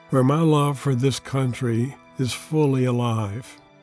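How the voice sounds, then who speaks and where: Over music in the background, a man with a medium-pitched voice talks at a fairly slow pace with fairly even intonation. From United States. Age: 80s+. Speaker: Jungian analyst and author. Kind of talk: reflective reading from own memoir.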